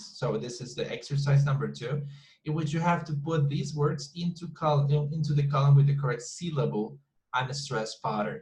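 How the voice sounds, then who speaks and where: A man with a Colombian accent speaks at a fairly high pitch, somewhat breathy, with ordinary pitch variation. His moderate pace carries audible room echo. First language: Spanish. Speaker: English teacher. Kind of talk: online class lecture. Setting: video call class with breakout rooms. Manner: repetitive, halting with many fillers.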